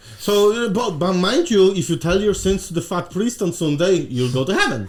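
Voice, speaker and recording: A man with a Polish accent speaks in a high pitch at a fairly quick pace, animated and with lively intonation. Noticeable background noise sits behind him. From Poland. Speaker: podcast guest. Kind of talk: casual chat.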